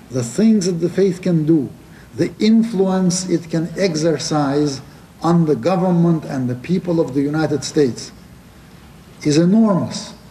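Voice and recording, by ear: A man talks with a dark, mellow tone and ordinary pitch variation, with audible room echo around him. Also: fairly high pitch for a man, fairly slow pace.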